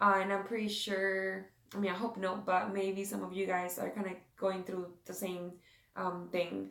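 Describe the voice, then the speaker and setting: This woman's voice sits at a medium pitch. She speaks at a moderate pace with monotone, flat intonation. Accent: Spanish. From South America. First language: Spanish. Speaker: devotional and beauty vlogger. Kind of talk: casual devotional talk. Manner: halting, many fillers.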